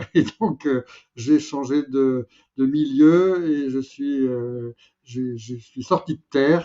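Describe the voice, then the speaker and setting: At a very slow pace, a man talks in a fairly high voice with ordinary pitch variation. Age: 70s. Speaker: filmmaker. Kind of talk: casual interview conversation. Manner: halting, many hesitations.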